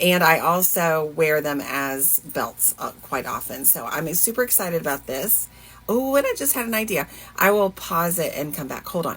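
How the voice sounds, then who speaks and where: At a moderate pace, a woman with a fairly low pitch and a slight Southern US accent speaks with lively intonation. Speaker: fashion and thrift vlogger. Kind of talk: casual vlog chat. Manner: casual, hesitant with fillers.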